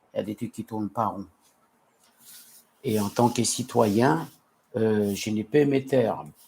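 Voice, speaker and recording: With a non-native accent, the speaker talks at a very slow pace with ordinary pitch variation. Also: man. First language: not French (speaking French). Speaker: citizen vlogger. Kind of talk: live stream monologue. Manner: halting, many hesitations and repetitions.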